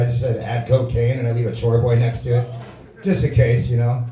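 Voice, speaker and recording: A man talks at a very fast pace. Light background noise and audible room echo surround him. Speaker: open mic comedian. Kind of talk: stand-up comedy routine. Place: stage.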